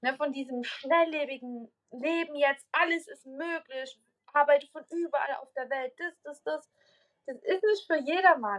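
A woman's high-pitched voice at a fairly slow pace, with lively intonation and big swings in loudness. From Saxony, near Dresden. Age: 20s. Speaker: podcast guest. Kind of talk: casual interview chat. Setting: video call.

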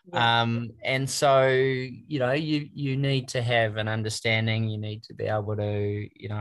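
A man speaks with a New Zealand accent at a fairly slow pace and fairly even intonation. The recording is very clean, with a silent background. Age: 50s. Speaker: trainee golf professional. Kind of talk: interview.

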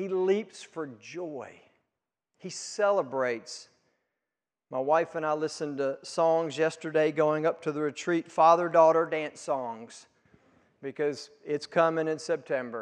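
With an ordinary speaking voice, a man talks fairly slowly at a fairly high pitch, his intonation fairly even against a quiet background. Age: 50s. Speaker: pastor. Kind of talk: sermon.

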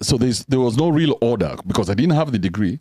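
This man's voice has a dark, mellow tone with vocal fry. The sound is dry and close, with no echo. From Kenya. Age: 40s. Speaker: podcaster. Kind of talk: casual chat.

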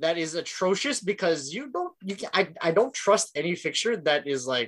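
The voice is bright and sharp, with a Filipino accent, lively intonation and a moderate pace. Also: man. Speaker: podcast co-host. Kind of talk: casual chat.

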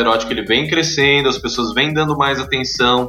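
A man with fairly even intonation, audible room echo and music in the background. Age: 30s. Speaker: entrepreneur. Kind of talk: interview.

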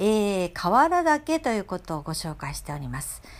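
A woman speaks at a medium pitch with very wide pitch swings, captured in a very clean recording against a silent background. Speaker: podcast host. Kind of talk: solo podcast monologue. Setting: at home. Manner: hesitant, many fillers.

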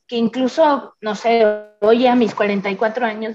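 A woman's fairly high pitch with a dark, mellow tone and ordinary pitch variation. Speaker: designer and creativity teacher. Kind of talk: casual interview chat.

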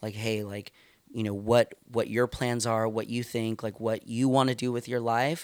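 A man with a Californian accent talks at a moderate pace in a monotone, flat delivery. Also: medium pitch for a man. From California, Stockton. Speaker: youth pastor. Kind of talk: casual interview.

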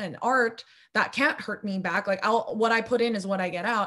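An American accent marks this woman's unremarkable speaking voice, which sits at a fairly high pitch with ordinary pitch variation. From Los Angeles, US. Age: 20s. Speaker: filmmaker and video editor. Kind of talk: casual interview.

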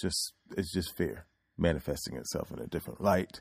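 In an American accent, a man speaks with a very deep, low pitch, vocal fry, an animated tone and very wide pitch swings, in a dry, close sound with no echo. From US Oklahoma. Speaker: podcaster and actor. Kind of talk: casual comedic monologue. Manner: animated, jokey.

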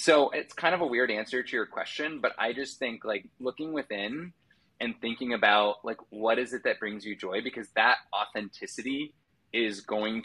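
This man has an ordinary speaking voice with ordinary pitch variation. His pace is moderate. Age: 30s. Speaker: nonprofit marketplace CEO. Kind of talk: casual chat.

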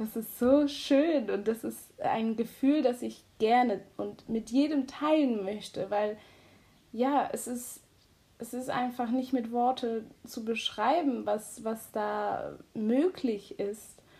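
Her pitch is high and her tone dark and mellow as this woman speaks at a very slow pace with ordinary pitch variation. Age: 20s. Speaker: high-sensitivity coach and student. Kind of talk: casual chat.

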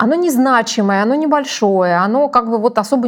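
A woman speaks at a moderate pace in an ordinary speaking voice, with ordinary pitch variation. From Russia. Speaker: company executive. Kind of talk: interview.

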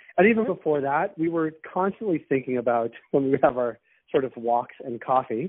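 Lively in intonation, a man with an American accent talks in an unremarkable speaking voice at medium pitch and a moderate pace. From US, Boston. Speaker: cannabis business founder. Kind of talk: casual interview.

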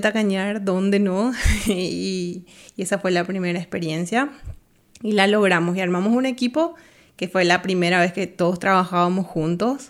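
A woman with an ordinary speaking voice, medium in pitch, at a moderate pace with fairly even intonation. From Bolivia. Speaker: art production designer. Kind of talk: interview.

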